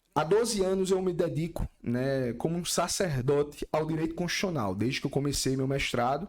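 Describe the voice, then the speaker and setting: In a normal speaking voice, the talk moves at a moderate pace with lively intonation and hardly any pauses. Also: man, fairly high pitch for a man. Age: 30s. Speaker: lawyer and constitutional law professor. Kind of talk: podcast interview.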